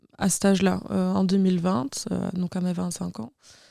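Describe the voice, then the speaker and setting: Heard in a very clean recording with a silent background, a woman speaks at a medium pitch with a dark, mellow tone. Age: 20s. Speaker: abuse survivant. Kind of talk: personal testimony. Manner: halting.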